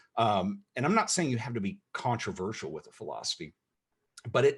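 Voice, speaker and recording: Very wide pitch swings in a man's somewhat breathy delivery. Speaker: photographer and video creator. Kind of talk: interview talk. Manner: fast.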